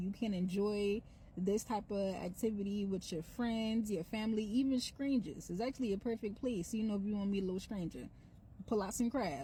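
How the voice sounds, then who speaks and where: A woman with an American accent talks fairly quickly with ordinary pitch variation. Her tone is dark and mellow, somewhat breathy. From North Charleston, South Carolina (Gullah Geechee). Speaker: cultural content creator. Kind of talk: casual social media monologue. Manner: animated.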